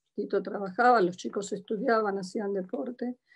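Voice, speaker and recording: The speaker has a Buenos Aires accent and fairly even intonation. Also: woman. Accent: Buenos Aires (porteño) Spanish. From Argentina, Buenos Aires. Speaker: church member giving testimony. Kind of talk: testimony. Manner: halting.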